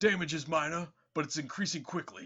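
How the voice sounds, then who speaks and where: A man's raspy, fairly high put-on character voice at a fairly quick pace. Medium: read story. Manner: matter-of-fact.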